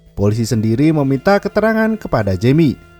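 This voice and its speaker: Man's voice at a fairly quick pace with very wide pitch swings, music in the background, and a dry, close sound with no echo. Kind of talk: film plot recap narration.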